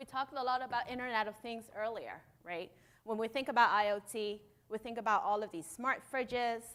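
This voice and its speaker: A woman speaks with a non-native accent. Her pitch is fairly high. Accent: noticeable non-native. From Hong Kong. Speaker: conference speaker, startup founder. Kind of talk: conference keynote talk. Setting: stage with audience. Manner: animated.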